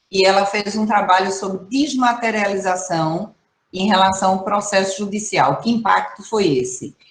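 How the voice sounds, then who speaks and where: A woman's somewhat breathy voice moves at a moderate pace, its pitch varying in an ordinary way. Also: medium pitch for a woman. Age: 60s. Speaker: professor, environmental management specialist. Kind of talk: online training talk. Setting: video call. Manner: conversational, animated.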